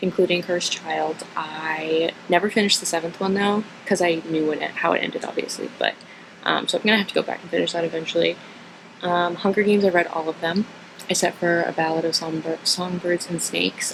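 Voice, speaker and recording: Through noticeable background noise, a woman with an American accent talks very fast at a fairly low pitch in a monotone, flat intonation. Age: 20s. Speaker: vlogger. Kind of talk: casual Q&A monologue. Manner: casual, hesitant with fillers.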